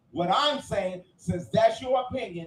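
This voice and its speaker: A loud, animated man with a high pitch, ordinary pitch variation and a moderate pace, over noticeable background noise. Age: 50s. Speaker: podcast panelist. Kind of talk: heated debate.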